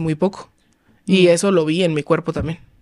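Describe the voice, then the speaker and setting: Fairly even intonation against a quiet background. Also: woman. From Mexico, Los Cabos (Baja California Sur); Baja California Sur, Mexico. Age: 20s. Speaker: lifestyle content creator. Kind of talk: casual interview. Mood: reflective, personal story. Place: studio. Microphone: studio mic.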